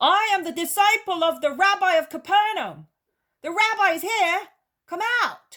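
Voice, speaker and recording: A loud put-on character voice with an extremely high pitch goes along at a moderate pace. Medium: read story. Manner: loud, blunt.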